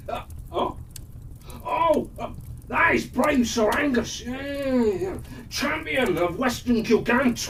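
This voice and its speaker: Speaking very slowly in a put-on character voice at a fairly high pitch, the speaker leaves long, frequent pauses over clear background noise. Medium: read story. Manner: hesitant, stammering.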